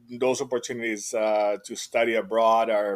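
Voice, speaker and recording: Monotone, flat intonation in a man's voice of medium pitch. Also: very clean recording, silent background. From Venezuela, Maracaibo. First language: Spanish. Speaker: entrepreneur and tech company founder. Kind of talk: podcast interview. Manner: hesitant, many fillers.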